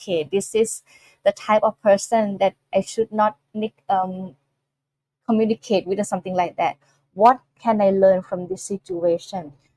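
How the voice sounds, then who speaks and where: A woman speaks at a fairly slow pace in a medium pitch, her tone dark and mellow, the sound dry and close with no echo. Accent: Thai. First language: Thai. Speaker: Buddhist nun teacher. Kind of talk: dharma talk. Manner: halting.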